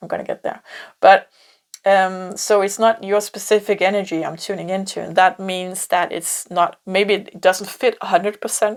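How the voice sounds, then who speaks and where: A woman with a Danish accent speaks at a moderate pace and medium pitch, on a very clean recording with a silent background. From Denmark. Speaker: tarot reader. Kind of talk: pick-a-card tarot reading. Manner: halting, many fillers and repeats.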